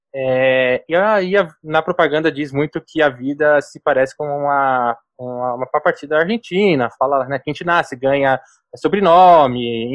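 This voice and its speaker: This man has an ordinary speaking voice with fairly high pitch and ordinary pitch variation. He speaks at a fairly slow pace. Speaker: sales and marketing executive. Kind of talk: interview.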